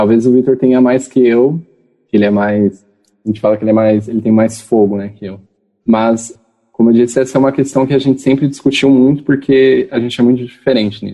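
Speaking fairly quickly with fairly even intonation, a man uses an ordinary speaking voice at a medium pitch. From interior of São Paulo state, Brazil. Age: 20s. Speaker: geography student. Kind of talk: interview. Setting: video call.

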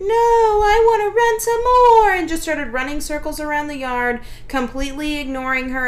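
Noticeable background noise sits behind a woman speaking at a moderate pace. Her pitch swings very widely. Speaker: dog trainer and podcast host. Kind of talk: casual podcast chat.

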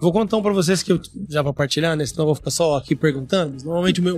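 With lively intonation, a man talks very fast in a high voice. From Brazil, interior of Paraná. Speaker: podcast host. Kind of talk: casual chat. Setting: recorded at a live event.

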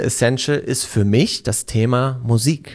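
A man speaks at a very slow pace, his pitch medium with ordinary variation. The recording is very clean, with a silent background. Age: 20s. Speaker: podcast co-host and social media agency owner. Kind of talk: casual interview, answering as guest. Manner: frequent filler sounds, hesitant.

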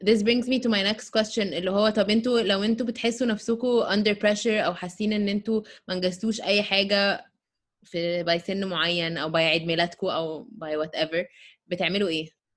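In a normal speaking voice, a woman of medium pitch talks at a fairly quick pace. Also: ordinary pitch variation. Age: 30s. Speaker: podcast co-host. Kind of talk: casual chat.

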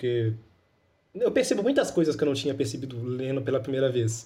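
The man has a fairly high pitch and a dark, mellow tone. His voice is somewhat breathy, with lively intonation. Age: 20s. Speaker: podcast host. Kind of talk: casual chat.

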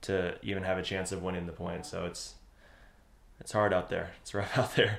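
A man with a very deep, low voice talks fairly quickly in a flat monotone. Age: young. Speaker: professional pickleball player and podcast co-host. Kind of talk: casual chat.

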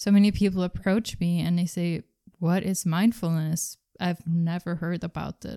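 A dark, mellow voice moves at a moderate pace with fairly even intonation, in a dry, close recording with no echo that is very clean against a silent background. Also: woman. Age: 20s. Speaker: spiritual wellness podcaster. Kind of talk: solo monologue podcast.

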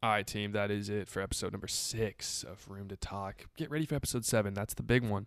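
At a fairly quick pace and with hardly any pauses, a man speaks at a fairly low pitch with ordinary pitch variation. His is an unremarkable speaking voice, on a very clean recording with a silent background. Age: 20s. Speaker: podcast host. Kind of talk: casual chat.

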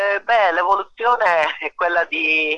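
Heard in a dry, close sound with no echo, a man speaks very slowly in a bright, sharp tone. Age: 50s. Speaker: musician and songwriter. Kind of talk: casual radio interview. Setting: outdoors under a portico.

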